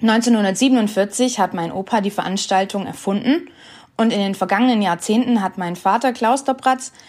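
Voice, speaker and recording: Here is a woman with a normal speaking voice, fairly high in pitch with ordinary pitch variation. She talks at a moderate pace. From Stuttgart region, Swabia, Germany. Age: 20s. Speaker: podcast host. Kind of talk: scripted introduction.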